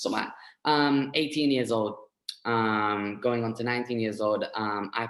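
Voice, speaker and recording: A man with a London accent, medium pitch and fairly even intonation, at a moderate pace. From east London, England. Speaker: forex trader sharing success story. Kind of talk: testimony. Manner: halting, many fillers.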